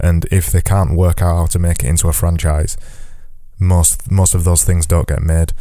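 A man's very deep, low voice in monotone, flat intonation, at a moderate pace with audible room echo. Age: 20s. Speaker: podcast host and graphic designer. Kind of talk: casual chat.

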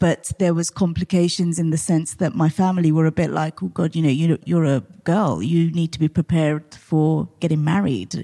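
A woman with a southern English accent, fairly low in pitch with ordinary pitch variation. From Portsmouth, southern England. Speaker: mental health charity CEO. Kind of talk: interview.

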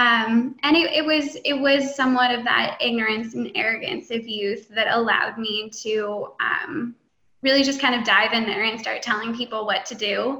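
Using a normal speaking voice, a woman holds a fairly high pitch and fairly even intonation. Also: moderate pace. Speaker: real estate developer. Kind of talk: interview.

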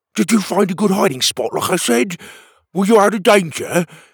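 A man's put-on character voice, high-pitched with a husky, rough edge and vocal fry, lively intonation at a moderate pace, in a very clean recording against a silent background

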